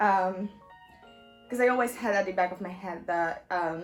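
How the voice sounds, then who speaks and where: A woman with a non-native accent speaks at medium pitch in a nervous tone. Music plays in the background, and audible room echo is present. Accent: non-native, may mispronounce words. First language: not English. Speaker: university student vlogger. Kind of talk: casual vlog advice. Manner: hesitant, many ums; nervous laugh.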